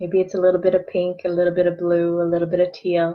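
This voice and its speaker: Talking at a moderate pace and medium pitch, a woman has an unremarkable speaking voice. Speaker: energy healing coach. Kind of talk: guided meditation. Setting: online video.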